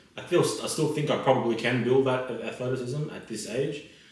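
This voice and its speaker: A man's medium-pitched voice at a moderate pace, with audible room echo. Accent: Australian. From Australia. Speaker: lawyer. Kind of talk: casual chat.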